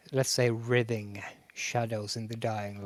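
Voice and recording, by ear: A natural voice reading aloud, intonation fairly even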